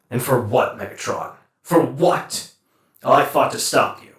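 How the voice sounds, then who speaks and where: Put-on character voice from a man. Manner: measured, earnest.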